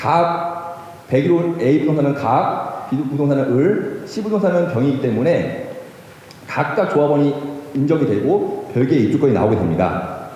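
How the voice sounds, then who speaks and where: Noticeable background noise and audible room echo surround a man's voice. He speaks at a fairly slow pace, fairly high in pitch, with lively intonation. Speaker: lawyer. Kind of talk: lecture. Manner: halting.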